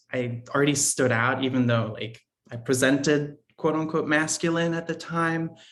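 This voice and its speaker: A man with an American accent speaks at a moderate pace, with ordinary pitch variation. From Italy, Austria, then US from age ten. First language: French. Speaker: podcast guest. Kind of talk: interview. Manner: casual, many fillers.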